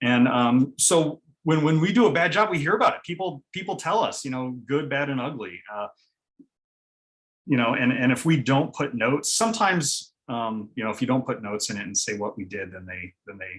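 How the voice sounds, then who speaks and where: Fairly quick and at a medium pitch, a man's speech shows very wide pitch swings and big swings in loudness. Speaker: city GIS coordinator. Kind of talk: conference presentation. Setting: virtual conference. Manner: halting, many fillers; fast.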